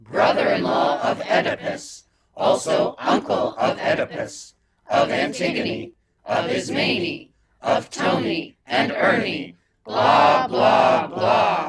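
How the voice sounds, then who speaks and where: A man performs a put-on character voice. He delivers it at a very slow pace. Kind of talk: mock tragic chorus declamation. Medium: stage play. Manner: deadpan, sardonic.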